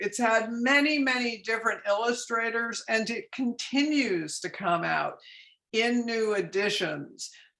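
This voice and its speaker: Using a plain, everyday voice, a woman speaks at a fairly slow pace and a fairly high pitch with ordinary pitch variation. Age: 60s. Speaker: author. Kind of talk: author talk with slides. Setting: virtual bookstore event.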